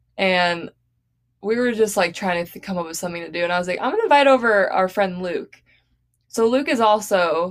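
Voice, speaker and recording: With an American accent, a woman speaks at a fairly quick pace in a medium pitch, using ordinary pitch variation and a plain, everyday voice. The recording is very clean, with a silent background. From Arizona. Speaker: podcast co-host. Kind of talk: casual chat.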